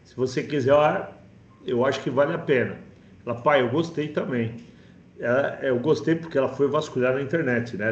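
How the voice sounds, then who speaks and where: Amid audible room echo, a man's somewhat breathy voice shows ordinary pitch variation. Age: 50s. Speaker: course participant. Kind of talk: testimony. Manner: halting.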